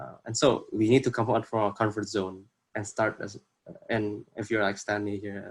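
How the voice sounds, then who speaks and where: A man speaks with an Indonesian accent in a fairly low pitch. His pace is moderate and his intonation fairly even. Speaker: workshop presenter. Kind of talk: workshop presentation. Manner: halting, many fillers.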